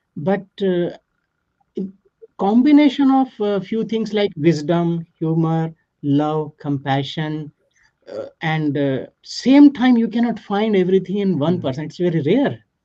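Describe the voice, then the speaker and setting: A man with an Indian accent speaks fairly slowly in a high voice with a dark, mellow tone. His pitch swings very widely. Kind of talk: interview answer. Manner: calm.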